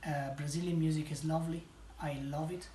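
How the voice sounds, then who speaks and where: A man speaks with an Italian accent. Room echo can be heard. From Italy. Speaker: home cook. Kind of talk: casual chat; cooking tutorial.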